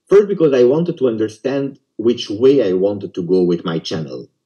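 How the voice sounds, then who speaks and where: The voice has a dark, mellow tone and a fairly quick pace. Its pitch swings very widely. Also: man. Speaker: football YouTuber. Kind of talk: interview.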